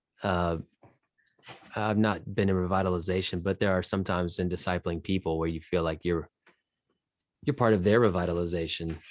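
Over a silent background in a very clean recording, a man with a very deep, low pitch talks at a fairly quick pace with fairly even intonation, broken by long, frequent pauses. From outside New England. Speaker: podcast host and pastor. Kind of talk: casual interview conversation.

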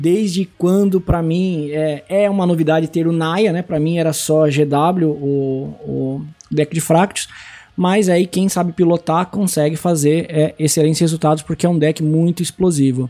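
At a fairly slow pace, a man speaks in a normal speaking voice, fairly high-pitched with fairly even intonation. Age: 30s. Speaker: card game content creator. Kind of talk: casual chat.

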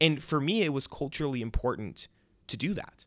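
A man speaks with a Chicago-area accent. His tone is bright and sharp. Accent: Chicago-area American English. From US Midwest, Chicago suburbs. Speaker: podcast host, civic technologist. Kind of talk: personal story monologue. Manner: casual.

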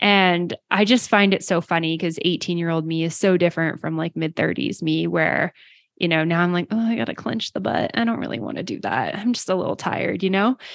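A normal speaking voice from a woman, fairly low in pitch, with lively intonation, a fairly quick pace and hardly any pauses. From Western Canada, small town. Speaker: yoga business podcaster. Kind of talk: interview conversation. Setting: video call.

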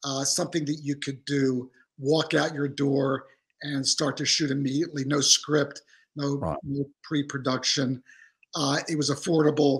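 A man's somewhat breathy, fairly high voice in an American accent, monotone with flat intonation, at a moderate pace. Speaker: photographer. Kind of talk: interview.

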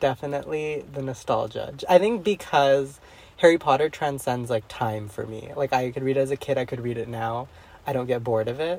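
An ordinary speaking voice from a man, medium in pitch, at a fairly quick pace with ordinary pitch variation. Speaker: book club guest. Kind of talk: casual book discussion.

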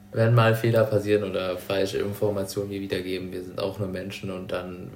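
A man's fairly low voice at a fairly quick pace, monotone and flat in intonation, with audible room echo. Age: 20s. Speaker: psychology student. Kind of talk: casual chat.

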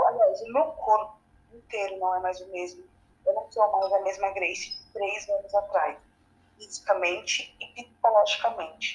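A woman speaks in an unremarkable speaking voice with ordinary pitch variation. Her loudness swings widely. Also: medium pitch for a woman, fairly slow pace. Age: 20s. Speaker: cancer patient. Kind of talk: testimony.

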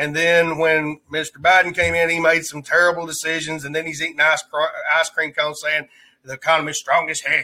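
Speaking at a fairly quick pace with an American accent, a man uses a fairly high pitch and a bright, sharp tone, his intonation monotone and flat. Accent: Southern US redneck. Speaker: livestreamer and podcast host. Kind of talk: casual live stream chat. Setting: live stream with online chat.

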